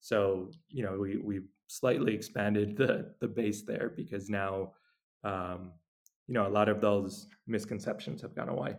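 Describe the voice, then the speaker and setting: A man's fairly low voice in an American accent, fairly slow and fairly even in intonation, an ordinary speaking voice. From New York. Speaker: nonprofit founder, Bitcoin educator. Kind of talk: interview.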